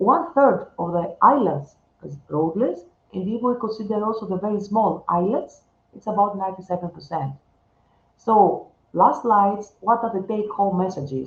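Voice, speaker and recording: Somewhat breathy and at a medium pitch, a woman speaks at a moderate pace with lively intonation and big swings in loudness. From Greece. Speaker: researcher. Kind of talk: conference talk.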